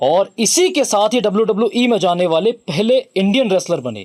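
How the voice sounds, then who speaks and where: Lively intonation over music in the background. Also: man. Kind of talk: biography narration; documentary narration.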